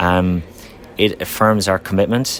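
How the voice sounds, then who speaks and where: A man with an Irish accent and a very deep, low voice. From Ireland. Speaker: company representative at trade conference. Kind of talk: conference interview. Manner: halting, many fillers.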